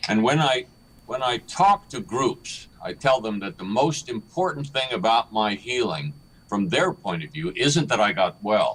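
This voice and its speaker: A man at a medium pitch moves through very wide pitch swings while speaking at a fairly slow pace. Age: 70s. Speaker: author and motivational speaker. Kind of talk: interview.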